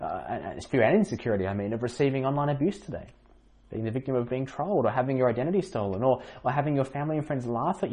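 This natural reading voice carries ordinary pitch variation.

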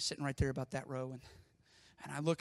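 A man's fairly high voice with vocal fry, at a very fast pace. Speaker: pastor. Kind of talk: sermon. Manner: loud, yelling; animated.

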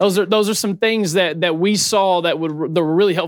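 This man has a high pitch, ordinary pitch variation, and a Southern US accent. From Murray, Kentucky. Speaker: church planter and chicken farmer. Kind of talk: conference panel talk.

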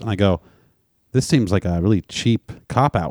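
A man with a plain, everyday voice and a fairly low pitch talks at a fairly quick pace in a dry, close sound with no echo. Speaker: podcast co-host. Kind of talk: casual banter, crude comedy chat. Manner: joking, crude.

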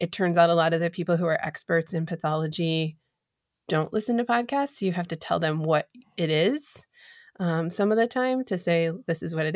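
A woman with a plain, everyday voice speaks fairly quickly at a fairly low pitch. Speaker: podcast host. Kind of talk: casual chat, podcast interview.

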